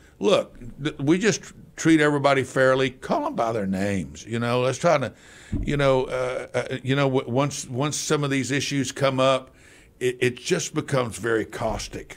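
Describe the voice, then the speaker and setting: Here a man speaks with an American accent at a moderate pace. His medium-pitched voice has ordinary pitch variation. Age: 60s. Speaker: city council member. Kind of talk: radio interview. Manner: halting.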